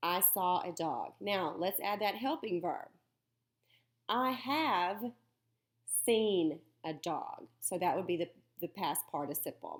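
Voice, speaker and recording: A woman with a Southern US accent speaks at a very slow pace, leaving long, frequent pauses, her medium pitch swinging very widely. The recording is very clean, with a silent background. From US South. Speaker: teacher. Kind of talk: lecture. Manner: animated.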